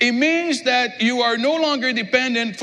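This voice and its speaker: Amid noticeable background noise, a man with a French accent uses a raised, projected voice at a fairly slow pace, with ordinary pitch variation. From Quebec. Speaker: pastor. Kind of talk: sermon. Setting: church.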